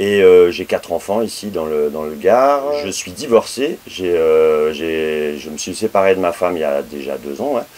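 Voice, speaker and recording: A man with a very deep, low voice speaks at a fairly slow pace with hardly any pauses, lively intonation and big swings in loudness over noticeable background noise. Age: 40s. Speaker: interviewee, part-time association employee. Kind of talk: casual chat. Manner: halting.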